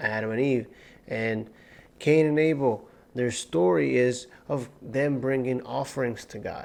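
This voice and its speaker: At a fairly slow pace, a man speaks in a medium pitch with ordinary pitch variation. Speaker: Bible teacher. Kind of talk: Torah portion teaching. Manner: carefully enunciating.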